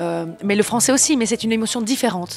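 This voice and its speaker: Over music in the background, a woman talks with a Belgian accent. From Belgium. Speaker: singer-songwriter and actress. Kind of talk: interview. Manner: hesitant, many fillers.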